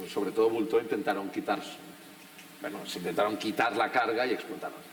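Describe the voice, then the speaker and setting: A man speaks at a medium pitch with a Catalan accent. Noticeable background noise runs underneath. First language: Catalan (speaking Spanish). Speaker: writer. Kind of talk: panel discussion.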